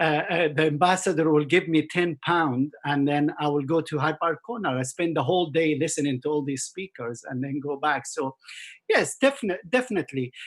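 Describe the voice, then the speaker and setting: In an Arabic accent, a man speaks at a fairly high pitch. He moves at a fairly quick pace. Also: ordinary pitch variation. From Jordan and Kuwait, Palestinian family. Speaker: mountaineer. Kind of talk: interview conversation. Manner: halting.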